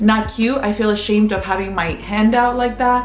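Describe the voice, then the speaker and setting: Faint music plays behind a woman whose intonation is monotone and flat. Audible room echo surrounds her voice. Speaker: vlogger. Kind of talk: casual vlog chat. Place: home room. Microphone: phone near.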